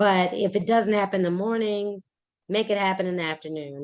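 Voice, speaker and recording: A woman speaks at a very fast pace. Her pitch is medium and her intonation fairly even. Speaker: real estate agent presenting on cold calling. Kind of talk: casual Q&A discussion.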